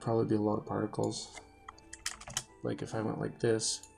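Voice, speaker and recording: A man is talking at a very fast pace. Behind him, there is music in the background. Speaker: game programmer. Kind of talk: screen-recorded programming tutorial. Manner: casual, explanatory.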